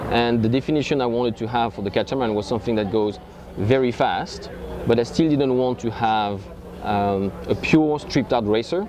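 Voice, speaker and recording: A man with a French accent at medium pitch, ordinary pitch variation and a fairly quick pace, over noticeable background noise. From France. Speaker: yacht owner and boat promoter. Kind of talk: interview. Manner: halting.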